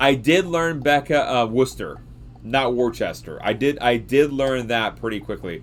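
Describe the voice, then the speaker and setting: Here a man talks with a Southern US accent at medium pitch, with ordinary pitch variation. His tone is animated. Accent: Southern drawl, slurs words. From US South, Georgia. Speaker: science livestreamer. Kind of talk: casual livestream chat. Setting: live stream reading chat.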